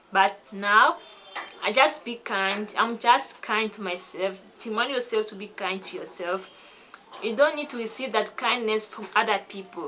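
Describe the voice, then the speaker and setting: A woman with a French accent speaks at a fairly slow pace and fairly high pitch, with ordinary pitch variation, big swings in loudness and noticeable background noise. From French-speaking country. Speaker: English learning vlogger. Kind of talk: casual vlog talk.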